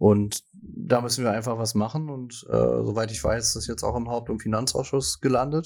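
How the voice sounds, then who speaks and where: A man with a medium-pitched voice speaks in a normal speaking voice, using ordinary pitch variation and hardly any pauses. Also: moderate pace. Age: young. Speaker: podcast co-host, local politician. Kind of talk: casual chat.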